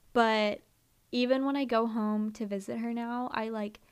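A woman talks in an American accent with a fairly high pitch. Her intonation is monotone and flat. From US Northeast, Philadelphia area. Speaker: podcast co-host. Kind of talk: casual chat.

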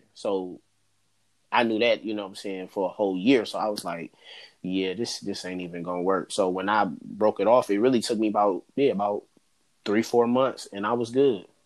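A man at a moderate pace with a plain, everyday voice, in a very clean recording with a silent background. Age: 20s. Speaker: podcast guest discussing healing. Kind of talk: casual chat.

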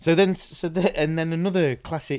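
With a slight South Yorkshire accent, a man speaks at a moderate pace. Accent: South Yorkshire English, mild. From Doncaster, northern England. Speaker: podcast host. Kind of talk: casual chat. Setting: video call.

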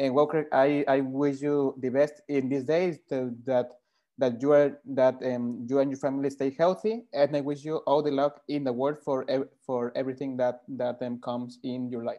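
With a Spanish accent, a man speaks in a fairly high pitch and fairly even intonation. His tone is dark and mellow. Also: moderate pace, quiet background. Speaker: football podcast host. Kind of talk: interview. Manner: halting.

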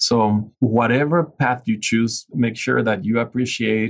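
The speaker talks at a very slow pace with a Venezuelan accent. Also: man. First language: Spanish. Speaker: innovation and leadership specialist. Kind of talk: interview.

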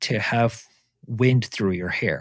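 Speaking very slowly with a Korean accent, a man comes through in a dry, close sound with no echo against a quiet background. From South Korea, moved to Vancouver area at fourteen. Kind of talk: interview conversation.

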